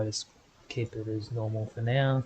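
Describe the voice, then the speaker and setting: With a dark, mellow tone and somewhat breathy quality, a man talks at a moderate pace, medium in pitch and fairly even in intonation. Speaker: gaming video creator. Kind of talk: gameplay commentary.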